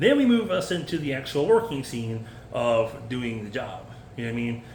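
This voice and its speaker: Audible room echo surrounds a man's medium-pitched voice. He speaks at a fairly quick pace. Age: 40s. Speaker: food service worker vlogger. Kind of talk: unscripted casual monologue. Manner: fast.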